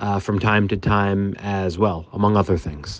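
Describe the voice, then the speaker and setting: With an American accent, this man has an ordinary speaking voice, fairly low in pitch, moving at a moderate pace with fairly even intonation. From Massachusetts, US (Boston area). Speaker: DJ and event organizer. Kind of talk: interview.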